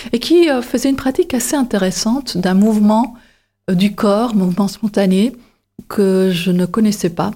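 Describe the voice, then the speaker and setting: A fairly slow delivery carries a dark, mellow tone, with pitch moving in an ordinary way. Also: woman. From Belgium, Flemish side (Antwerp). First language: Dutch (Flemish) (speaking French). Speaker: painter and photographer. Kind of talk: interview monologue. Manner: halting, many hesitations.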